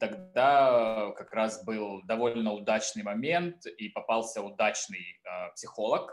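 Music plays behind a man who speaks at a very slow pace. His loudness swings widely. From southern Russia. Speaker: photographer and drag artist. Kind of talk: casual interview chat.

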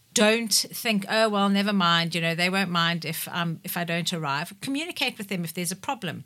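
A woman speaks at a fairly quick pace with hardly any pauses, her fairly low pitch moving with ordinary variation and her tone bright and sharp. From South Africa, KwaZulu-Natal. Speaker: business owner. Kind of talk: radio interview. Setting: radio studio.

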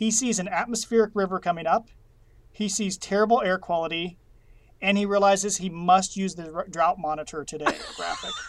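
High-pitched man at a fairly quick pace with fairly even intonation, amid noticeable background noise. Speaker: chief meteorologist. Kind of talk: casual chat. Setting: separate rooms, remote. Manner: fast talker.

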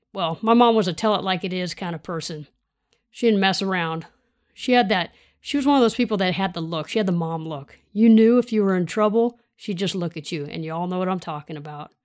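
A woman with an American accent, medium pitch, ordinary pitch variation, and a fairly quick pace, on a very clean recording with a silent background. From US West Coast, Sacramento area, California. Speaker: podcast host and leadership coach, retired law enforcement officer. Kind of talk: monologue, personal story and motivational talk.

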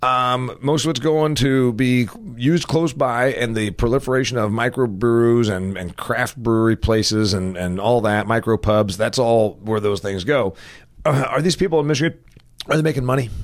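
At a moderate pace, a man talks in an unremarkable speaking voice, medium in pitch with ordinary pitch variation. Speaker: podcast host. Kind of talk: casual interview.

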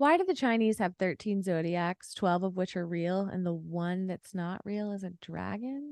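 A woman with a medium-pitched voice talks at a moderate pace with hardly any pauses and ordinary pitch variation, in a dry, close sound with no echo. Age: 30s. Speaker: lawyer and online personality. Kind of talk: casual chat. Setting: video call. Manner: more confident than before.

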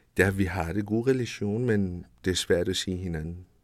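Here a man talks with a Persian accent in a very deep, low pitch with ordinary variation. The recording is very clean, with a silent background. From Iran. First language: Persian (speaking Danish). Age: 30s. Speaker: refugee, home care worker. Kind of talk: interview. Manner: halting.

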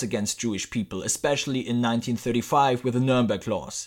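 A man speaks at a fairly quick pace with a German accent. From Germany. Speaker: podcast host. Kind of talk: scripted narration.

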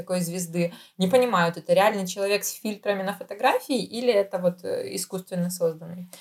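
A normal speaking voice from a woman, medium in pitch, with ordinary pitch variation and a fairly quick pace. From Ukraine. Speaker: podcast co-host. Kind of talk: casual chat.

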